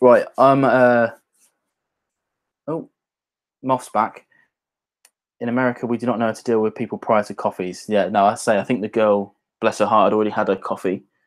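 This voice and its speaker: In a very clean recording with a silent background, a man with a British accent speaks at a fairly quick pace and medium pitch, his intonation fairly even, with long, frequent pauses. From English Midlands, near Birmingham. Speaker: whisky YouTuber. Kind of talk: casual livestream chat. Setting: livestream at home on laptop.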